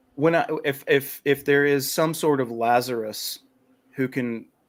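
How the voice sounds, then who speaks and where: A man speaks at a very slow pace. He has a North Carolina accent. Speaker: podcast guest, writer on liberty. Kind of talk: casual chat.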